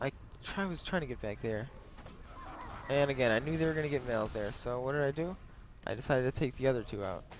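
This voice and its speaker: A man talks very fast in a medium pitch, with ordinary pitch variation. He leaves long, frequent pauses while music plays in the background. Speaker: gaming commentator. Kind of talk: gameplay commentary. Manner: subdued, low energy.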